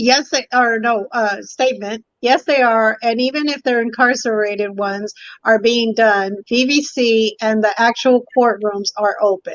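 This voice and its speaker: The pace is fairly slow. Pitch variation stays ordinary. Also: woman. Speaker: talk show host. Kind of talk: panel discussion. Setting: live stream.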